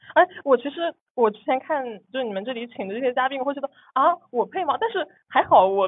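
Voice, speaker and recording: Her pitch high and her intonation lively, a woman speaks at a very fast pace. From Nantong, Jiangsu, China. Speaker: guest sharing personal finance story. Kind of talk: interview, personal story. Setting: recording studio. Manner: repeats words, stammers.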